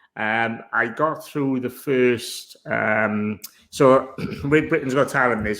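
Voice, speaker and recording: A man with a strong Welsh accent speaks at a very slow pace. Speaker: online seller. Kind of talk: interview. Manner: deliberately slowed.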